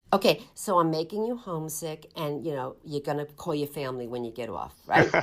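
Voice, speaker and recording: An American-accented woman's very deep, low voice with lively intonation at a fairly quick pace. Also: big swings in loudness. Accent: Boston accent (she denies it). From US East Coast. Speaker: podcast host, nutrition professor. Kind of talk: interview podcast. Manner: animated.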